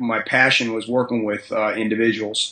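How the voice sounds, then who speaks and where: Over noticeable background noise, a man with an American accent speaks at medium pitch and a moderate pace. His intonation is monotone and flat. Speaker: high school strength and conditioning coach. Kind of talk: podcast interview. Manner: halting, many fillers and repetitions.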